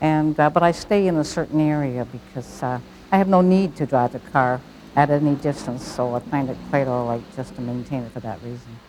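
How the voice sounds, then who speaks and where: A woman's very deep, low voice at a fairly quick pace, with ordinary pitch variation and big swings in loudness. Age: 80s+. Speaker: senior driver. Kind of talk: interview. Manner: halting.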